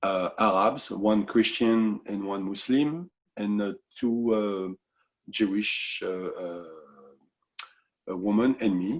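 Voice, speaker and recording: In a French accent, the speaker talks at a very slow pace with ordinary pitch variation and long, frequent pauses. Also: man, fairly low pitch for a man. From France. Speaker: musician. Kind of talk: interview. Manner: halting.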